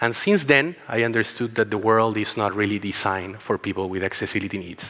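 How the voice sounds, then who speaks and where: A man with a Chilean accent, fairly low in pitch. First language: Spanish. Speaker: travel company co-founder. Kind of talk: conference talk.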